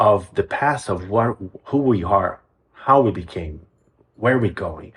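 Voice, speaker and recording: Somewhat breathy, a man with a Brazilian Portuguese accent speaks at a fairly slow pace. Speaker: music program executive director, composer. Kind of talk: interview. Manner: some hesitations and repeated words.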